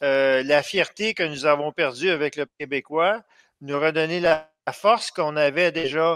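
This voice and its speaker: A man talks at a fairly slow pace in a fairly high pitch, with ordinary pitch variation. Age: 60s. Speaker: political activist and blogger. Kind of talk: radio interview. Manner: halting, many hesitations.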